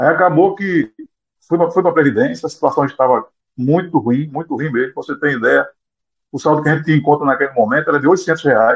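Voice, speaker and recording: Talking at a fairly quick pace with long, frequent pauses, a man speaks in a fairly high pitch. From Brazil, Pernambuco (Vicência). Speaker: association president, former biology teacher. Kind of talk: interview.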